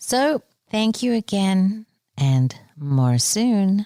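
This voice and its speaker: Recorded dry and close with no echo, a woman speaks in a dark, mellow tone. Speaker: spiritual book reviewer. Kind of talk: casual talk. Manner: soft-spoken.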